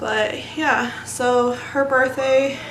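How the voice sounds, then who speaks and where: Delivered very slowly, the speech carries audible room echo and noticeable background noise. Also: woman. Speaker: beauty vlogger. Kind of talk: casual chat. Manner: soft-spoken.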